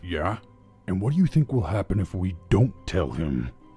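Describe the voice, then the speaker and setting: A man growls in a put-on character voice with very deep, low pitch, at a moderate pace. Faint music plays in the background. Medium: solo performance. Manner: nervous, deferential.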